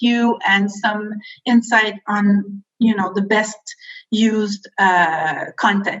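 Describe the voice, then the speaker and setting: With a French accent, a woman speaks with ordinary pitch variation. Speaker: film board education representative. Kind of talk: workshop presentation. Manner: halting, many fillers.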